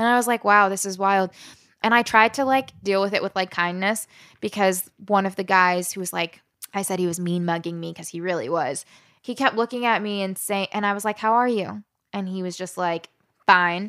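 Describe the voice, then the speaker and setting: A woman with an American accent speaks at a fairly quick pace and medium pitch. Her tone is bright and sharp, with ordinary pitch variation. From US, Southern Maryland. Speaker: journalist and storyteller. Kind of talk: interview conversation.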